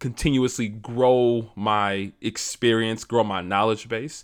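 In a very clean recording with a silent background, a man with an American accent speaks fairly slowly at a medium pitch with ordinary pitch variation. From US Midwest, Detroit, Michigan. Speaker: podcast host, cybersecurity engineer. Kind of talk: solo podcast monologue. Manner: casual, with frequent fillers.

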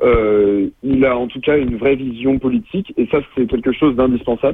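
With a normal speaking voice, a man talks at a moderate pace in a medium pitch with ordinary pitch variation. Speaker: student, political activist. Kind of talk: radio interview. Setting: phone call.

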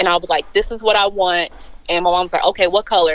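A woman at medium pitch speaks in a plain, everyday voice. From Chicago suburbs, US Midwest. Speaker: brand style strategist. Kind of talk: casual interview.

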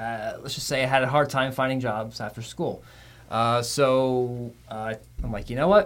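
With an American accent, a man uses a plain, everyday voice at medium pitch and moderate pace, with ordinary pitch variation and big swings in loudness. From Florida. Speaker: TV meteorologist, podcast host. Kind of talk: casual interview.

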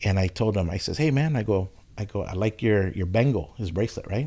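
Very cleanly recorded against a silent background, a man with a fairly low, dark, mellow, somewhat breathy voice talks at a fairly quick pace with lively intonation. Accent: Californian. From California, Oxnard. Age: 40s. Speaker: barber. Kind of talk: casual chat.

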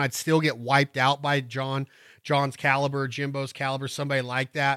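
A man with fairly high pitch, in a very clean recording with a silent background and a dry, close sound free of echo. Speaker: duck call instructor, podcast host. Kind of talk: tutorial. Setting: studio. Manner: fast; animated.

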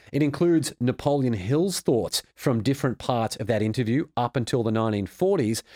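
A man with an Australian accent at a medium pitch, fairly quick and hardly pausing, lively in intonation, in a very clean recording with a silent background and a dry, close sound with no echo. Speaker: author and former financial advisor. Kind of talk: interview.

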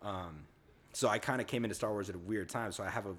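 With an American accent, this man speaks at a very deep, low pitch and with fairly even intonation. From US South. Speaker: podcast co-host. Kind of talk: casual chat.

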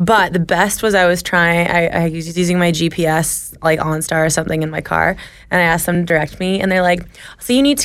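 A woman with a plain, everyday voice and a fairly low pitch speaks at a fairly quick pace. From Ontario, Canada (Sutton). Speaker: podcaster. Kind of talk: casual chat.

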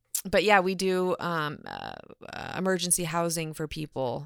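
A woman speaks in an ordinary speaking voice at a fairly low pitch. The recording is very clean with a silent background. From Orange County, California. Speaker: real estate agent. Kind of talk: casual interview.

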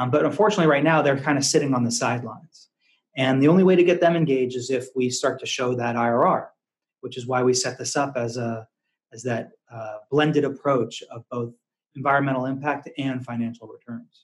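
In an unremarkable speaking voice with an American accent, a man talks at a fairly quick pace and medium pitch, with ordinary pitch variation and big swings in loudness. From Massachusetts, US. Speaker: investment firm founder and CEO. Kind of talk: casual interview conversation.

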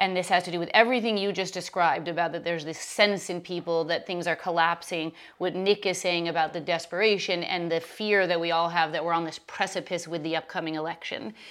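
A woman with a fairly low pitch talks very fast in a monotone, flat delivery with hardly any pauses, on a very clean recording with a silent background. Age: 40s. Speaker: podcast host and yoga teacher. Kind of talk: casual interview.

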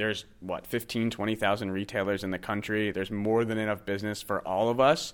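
A man's normal speaking voice, fairly low in pitch with fairly even intonation, at a fairly quick pace with hardly any pauses, on a very clean recording against a silent background. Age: 30s. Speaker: software company CEO. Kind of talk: interview. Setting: trade show venue.

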